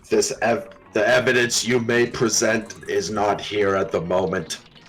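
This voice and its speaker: Using a put-on character voice, a man speaks in a stern, raspy tone at medium pitch, with a moderate pace and very even loudness. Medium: actual play. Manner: formal, stern.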